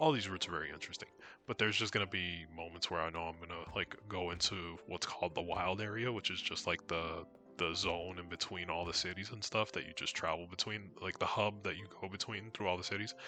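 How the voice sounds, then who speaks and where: A man's very deep, low voice at a very fast pace, with fairly even intonation and music in the background. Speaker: video game streamer. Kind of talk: casual gameplay commentary. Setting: live stream. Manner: casual.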